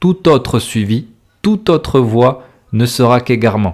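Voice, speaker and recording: A man with a southern French accent speaks at a very slow pace. His intonation is lively. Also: very clean recording, silent background. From southern France. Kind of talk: religious podcast sermon. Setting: home recording, simple equipment. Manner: loud, close to the mic.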